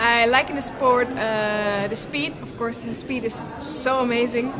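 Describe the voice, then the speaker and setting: A woman's voice is heard with noticeable background noise behind it. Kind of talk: interview answer. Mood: cheerful, relaxed.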